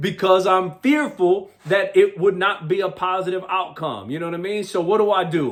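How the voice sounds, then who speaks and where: A loud, animated man's voice, high in pitch with ordinary variation, at a moderate pace with hardly any pauses, over noticeable background noise. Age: 40s. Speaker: motivational speaker. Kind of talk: motivational talk.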